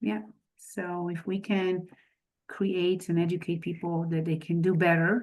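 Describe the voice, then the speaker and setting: Against a quiet background, a woman talks in a somewhat breathy voice. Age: 50s. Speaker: real estate investor. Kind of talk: podcast interview.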